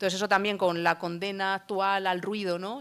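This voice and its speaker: In a very clean recording with a silent background, a woman speaks at a medium pitch in a flat monotone. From Madrid, Spain. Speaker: book author. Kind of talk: book presentation talk. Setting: stage with audience.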